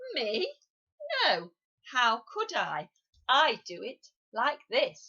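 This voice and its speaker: In a put-on character voice, a female-sounding voice with a high pitch is raised and projected, moving at a very slow pace with long, frequent pauses. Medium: read story. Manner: matter-of-fact.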